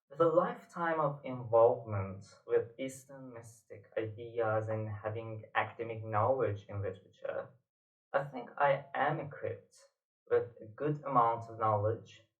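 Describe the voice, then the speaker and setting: Speaking fairly slowly with a Persian accent, a man with a medium-pitched voice swings widely in loudness. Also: ordinary pitch variation. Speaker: poet and literature teacher. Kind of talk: lecture. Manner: hesitant with fillers.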